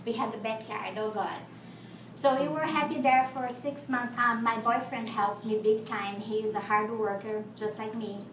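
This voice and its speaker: A woman talks at a moderate pace with a Brazilian Portuguese accent, her pitch fairly high and her intonation fairly even. There is audible room echo and noticeable background noise. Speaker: contestant. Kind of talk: testimony. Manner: halting.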